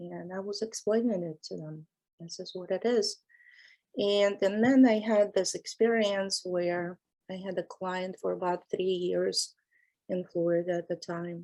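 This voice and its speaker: A woman with a non-native accent speaks at a fairly slow pace with fairly even intonation and big swings in loudness. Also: medium pitch for a woman. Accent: foreign. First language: not English. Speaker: massage therapist and instructor. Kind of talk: interview.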